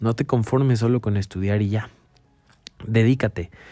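This man speaks with a Mexican accent in a dark, mellow tone, his pitch fairly low and his intonation fairly even. His pace is moderate, and the recording is very clean with a silent background. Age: 20s. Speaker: podcaster and motivational speaker. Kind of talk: motivational monologue.

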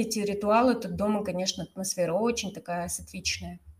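There is noticeable background noise. Over it, a woman speaks with ordinary pitch variation. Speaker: yoga teacher and podcast host. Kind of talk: casual chat.

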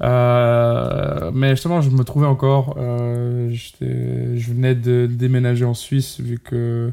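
A man's medium-pitched voice at a very slow pace, with hardly any pauses, fairly even intonation and noticeable background noise. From Portugal. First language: Portuguese (speaking French). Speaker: singer and musician. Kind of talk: interview. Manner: halting, many fillers.

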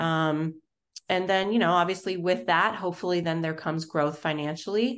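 At a moderate pace, a woman with an American accent speaks in a plain, everyday voice, fairly low in pitch with ordinary pitch variation. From Florida. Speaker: nonprofit consultant, business founder. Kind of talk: casual interview.

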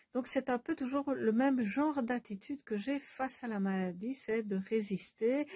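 A dark, mellow tone comes through, somewhat breathy. The pace is fairly slow, and the pitch varies in an ordinary way. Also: woman. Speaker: Bach flower remedy practitioner and author. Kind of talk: casual monologue to followers. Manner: hesitant, many filler sounds.

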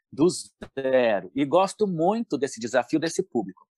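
A man speaks with a São Paulo accent at a fairly high pitch, swinging his pitch very widely. The sound is dry and close, with no echo. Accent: Paulistano Brazilian Portuguese. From São Paulo state, Brazil (São Paulo city and Campinas). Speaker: professional tap dancer and dance teacher. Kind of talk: interview.

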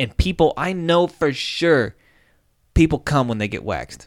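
A man's unremarkable speaking voice with lively intonation. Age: 30s. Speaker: podcast host. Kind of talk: casual chat.

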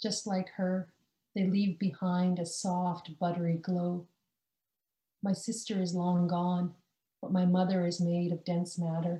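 A woman's fairly low, dark and mellow voice, somewhat breathy, in a Canadian accent, monotone and flat at a fairly slow pace. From British Columbia, Canada (born rural India). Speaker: poet. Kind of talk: casual interview chat; poetry reading of her own confessional free verse. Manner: slow, measured, deliberate pacing with weighted pauses between images; quiet, intimate and restrained.

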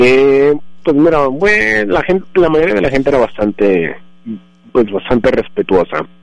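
A man speaks at medium pitch and a fairly slow pace. His pitch swings very widely while his loudness stays very even. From Colombia, Bogotá. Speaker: immigrant guest. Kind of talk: interview.

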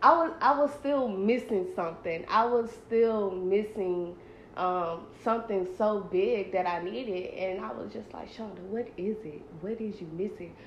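A woman of medium pitch speaks at a fairly slow pace with hardly any pauses, lively intonation and big swings in loudness, with audible room echo around her. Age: 20s. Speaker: podcast host, college student. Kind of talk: casual chat.

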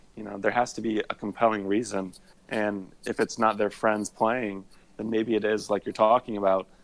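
A man speaks at a moderate pace with a Midwestern US accent. His fairly low voice stays monotone and flat. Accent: US Midwest. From Indiana, US Midwest. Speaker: attorney and golf content creator. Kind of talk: casual chat.

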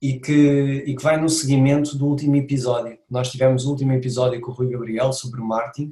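A man with a European Portuguese accent, medium pitch, monotone, flat intonation and a moderate pace. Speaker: podcast host, fitness trainer. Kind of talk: casual podcast interview.

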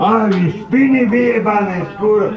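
Clear background noise and noticeable room reverberation run through the clip. A man talks with normal rises and falls in pitch. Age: 50s. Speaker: angry tenant. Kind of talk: angry rant. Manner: loud.

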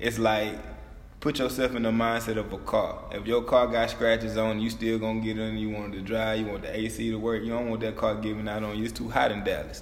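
Speaking at a fairly quick pace, a man with a medium-pitched voice keeps a flat, monotone delivery amid audible room echo and noticeable background noise. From small-town Louisiana. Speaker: former college football player, guest. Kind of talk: casual chat.

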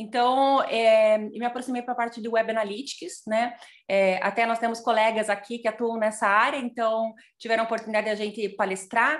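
A woman's plain, everyday voice, fairly high and fairly even in intonation, at a fairly quick pace against a quiet background. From Curitiba region, Brazil (Piraquara). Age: 40s. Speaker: social entrepreneur, tech education founder. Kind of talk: online panel conversation.

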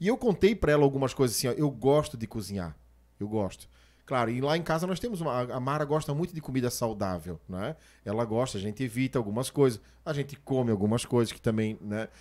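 A man speaks at a very fast pace in a medium pitch. His intonation is lively. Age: 40s. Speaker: podcast host and preacher. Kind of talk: casual chat.

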